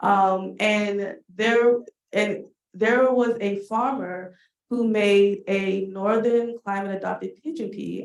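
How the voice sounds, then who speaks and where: A woman at a medium pitch with a Washington DC accent. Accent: Washington DC American English. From Washington DC (Southeast, Ward 8). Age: 30s. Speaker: farm community engagement coordinator, Air Force veteran. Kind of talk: panel discussion.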